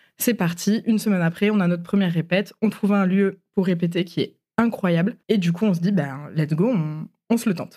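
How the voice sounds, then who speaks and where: At a fairly quick pace, a woman with a medium pitch and a dark, mellow, somewhat breathy tone speaks with ordinary pitch variation. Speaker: podcast guest telling her love story. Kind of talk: personal storytelling interview. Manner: hesitant, many fillers.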